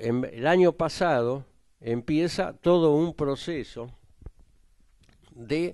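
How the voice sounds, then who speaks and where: This man's pitch rises and falls over a very wide range, with a quiet background behind him. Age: 70s. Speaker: political writer and speaker. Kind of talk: political talk at a public panel. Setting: hotel venue with audience. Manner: halting, many fillers and restarts.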